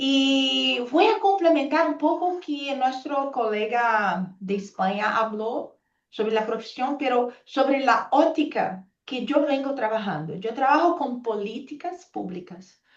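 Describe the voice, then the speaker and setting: Speaking in a Portuguese accent at a very slow pace, the voice swings very widely in pitch. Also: woman, high pitch for a woman. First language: Portuguese (speaking Spanish). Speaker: pharmacist and public health policy expert. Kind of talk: panel presentation. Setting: video call. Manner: halting.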